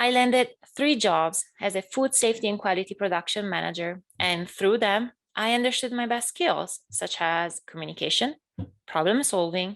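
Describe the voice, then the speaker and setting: A woman speaks in an Italian accent. Her intonation is lively. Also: quiet background. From northern Italy, near Bologna. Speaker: graduate student. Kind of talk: keynote speech. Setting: virtual event.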